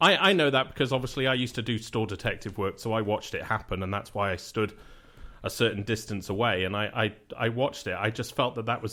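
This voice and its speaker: A man with a British accent talks at a very fast pace, using a medium pitch and ordinary pitch variation. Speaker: radio show host. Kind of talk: phone call. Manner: halting, hesitant.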